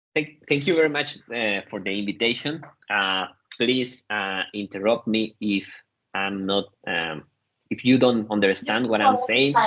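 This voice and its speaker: Speaking with a non-native accent, a man uses a fairly low pitch and ordinary pitch variation at a fairly slow pace, his tone bright and sharp. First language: Spanish. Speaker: researcher and lecturer. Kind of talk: lecture. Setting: online session. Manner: halting.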